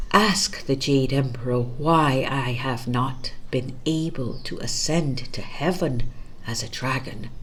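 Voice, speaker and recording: A put-on character voice at a low-to-middle pitch comes through with hissing and clear background noise. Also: fairly slow pace. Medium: read story.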